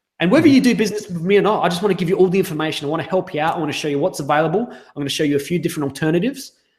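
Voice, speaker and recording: Someone with an Australian accent speaks at a very fast pace. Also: man. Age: 30s. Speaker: sales coach. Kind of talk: interview.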